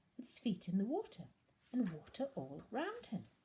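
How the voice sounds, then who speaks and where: This woman's voice is somewhat breathy, with a dark, mellow tone. She speaks at a moderate pace. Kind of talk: storybook narration.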